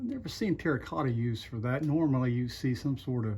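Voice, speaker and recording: A man talks at a fairly quick pace and a medium pitch. His somewhat breathy voice has ordinary pitch variation. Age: 60s. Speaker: relic hunter and video host. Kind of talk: casual narration while exploring. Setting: outdoors and in an abandoned house.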